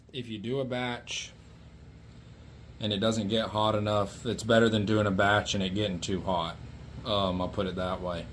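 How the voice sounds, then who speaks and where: Over noticeable background noise, a man mumbles at a moderate pace in a fairly low pitch with an American accent. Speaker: flintknapper. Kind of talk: tutorial. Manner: soft-spoken; mumbling.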